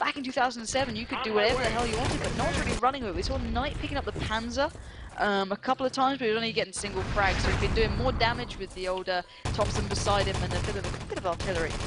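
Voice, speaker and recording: Over noticeable background noise, a woman with a fairly high voice speaks at a very fast pace with ordinary pitch variation. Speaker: esports shoutcaster. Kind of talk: live game commentary. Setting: live stream. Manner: animated.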